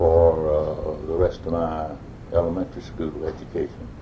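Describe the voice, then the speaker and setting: A man speaks with an Alabama accent. Music plays in the background. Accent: Southern US (Alabama). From US South, northern Alabama. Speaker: oral history interviewee. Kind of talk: oral history interview. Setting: at his home. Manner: hesitant, many uh fillers.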